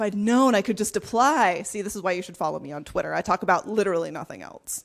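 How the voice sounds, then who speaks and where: A woman speaks very fast at a medium pitch, with vocal fry, ordinary pitch variation and big swings in loudness. The recording is very clean, with a silent background. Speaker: software company strategist giving a talk. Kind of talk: conference talk. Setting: stage with live audience in a pub. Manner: lively, humorous.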